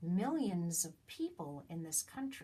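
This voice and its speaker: Somewhat breathy and very slow, the voice moves through very wide pitch swings. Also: woman. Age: 60s. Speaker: citizen vlogger. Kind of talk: direct-to-camera political appeal. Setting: self-recorded on iPad. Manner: halting, repeating words.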